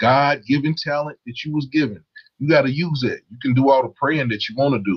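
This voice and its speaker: Somewhat breathy and fairly high, a man's voice moves at a fairly quick pace. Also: ordinary pitch variation. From Louisville, Kentucky. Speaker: YouTuber. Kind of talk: casual chat.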